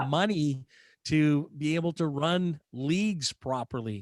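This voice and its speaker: A man speaks in a plain, everyday voice, fairly high in pitch with ordinary pitch variation. The recording is very clean with a silent background and a dry, close sound with no echo. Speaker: public address announcer for a professional hockey team; morning show contributor on accessibility-focused TV and audio media. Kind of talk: interview answer.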